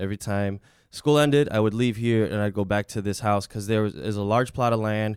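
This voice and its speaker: With ordinary pitch variation and a moderate pace, an unremarkable speaking voice comes through on a very clean recording with a silent background. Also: man. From Chicago, born in Mexico. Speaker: comedian. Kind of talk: storytelling in casual chat.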